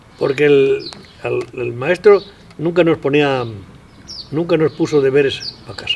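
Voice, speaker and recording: Over noticeable background noise, a man with a fairly high pitch talks at a fairly slow pace, with ordinary pitch variation, long, frequent pauses and big swings in loudness. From Spain, Castile and León (Tierra de Campos). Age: 90s. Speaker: elderly rural villager. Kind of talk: interview reminiscence. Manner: halting.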